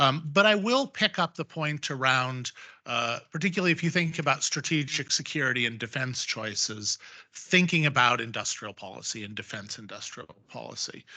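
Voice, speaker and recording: In an American accent, a man with a fairly high, bright, sharp voice speaks at a moderate pace with lively intonation and big swings in loudness against a quiet background. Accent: sounds American. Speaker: panelist on defense and geopolitics. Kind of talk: panel discussion. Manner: hesitant, many fillers.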